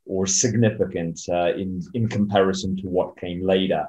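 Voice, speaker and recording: Speaking at a fairly slow pace, a man talks with an English accent. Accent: weak Polish, speaks mostly English. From Poland, then USA from age six. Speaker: entrepreneur and author. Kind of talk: interview. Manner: hesitant, many fillers.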